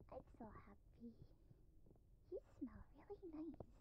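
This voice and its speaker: Soft-spoken whispering at a fairly slow pace, dry sound with no echo, and noticeable background noise. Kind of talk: soft intimate roleplay talk. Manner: soft, close-mic affectionate whisper.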